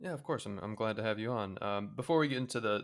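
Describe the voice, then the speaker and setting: The recording is very clean with a silent background. The pace is very fast. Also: man. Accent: American. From Indiana, US Midwest. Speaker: podcast host. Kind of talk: casual interview.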